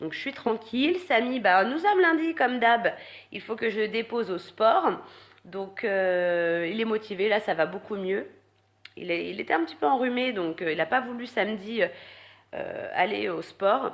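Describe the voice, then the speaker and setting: A woman with a fairly high pitch talks at a fairly slow pace, her pitch swinging very widely. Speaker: vlogger. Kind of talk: casual vlog talk. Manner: halting, many fillers.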